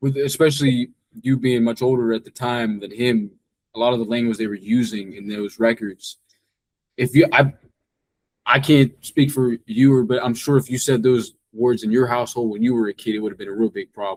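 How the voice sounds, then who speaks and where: A man uses an unremarkable speaking voice at medium pitch and a fairly quick pace, with fairly even intonation. His loudness swings widely, and the sound is dry and close with no echo. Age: 20s. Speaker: interviewer. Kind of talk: interview.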